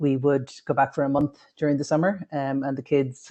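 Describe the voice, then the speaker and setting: A woman speaks with a very deep, low pitch and fairly even intonation. Her pace is moderate. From Ireland. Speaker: tech worker. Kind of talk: casual chat.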